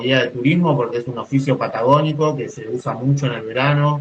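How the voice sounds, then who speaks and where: Somewhat breathy, a man talks at a fairly quick pace. His pitch sits at a medium level. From Argentine Patagonia. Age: 30s. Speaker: poet and mountain guide. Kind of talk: interview. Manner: halting, with frequent repetitions.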